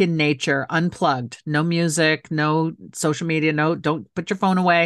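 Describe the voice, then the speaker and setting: A woman with a plain, everyday voice speaks at a fairly low pitch and moderate pace. The sound is dry and close with no echo, over a quiet background. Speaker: author and city council member. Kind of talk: interview.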